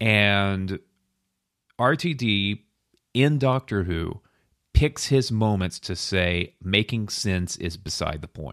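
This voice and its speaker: A man's fairly low-pitched voice with lively intonation, at a very slow pace with long, frequent pauses, in a dry, close sound with no echo. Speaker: podcast co-host. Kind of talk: casual podcast chat.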